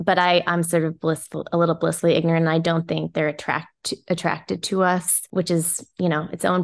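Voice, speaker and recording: With an American accent, a woman speaks at a fairly quick pace in a fairly low voice with vocal fry and monotone, flat intonation over a quiet background. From Hong Kong and Australia, then US. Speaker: magazine editor and author. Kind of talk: interview. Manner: halting, many fillers and restarts.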